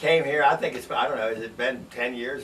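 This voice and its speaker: Talking at a fairly quick pace with an American accent, a man with a medium pitch is heard through audible room echo and noticeable background noise. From Washington, D.C. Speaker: drummer. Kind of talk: band promo self-introduction.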